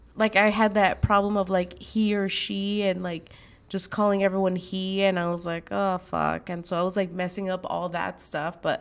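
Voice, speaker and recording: With a Spanish accent, a woman speaks at a medium pitch and a moderate pace. Her intonation is monotone and flat. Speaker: show host. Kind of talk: casual chat.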